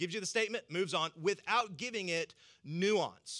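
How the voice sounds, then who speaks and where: In a Southern US accent, a man projects a raised voice with a high pitch and a bright, sharp tone. The sound is dry and close with no echo, and the recording is very clean with a silent background. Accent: Southern American. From US South. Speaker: pastor. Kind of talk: sermon.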